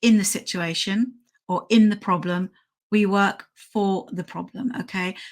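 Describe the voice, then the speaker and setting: A British accent on a very clean recording with a silent background. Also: woman. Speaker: dog trainer. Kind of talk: live stream tutorial. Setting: live stream with slides.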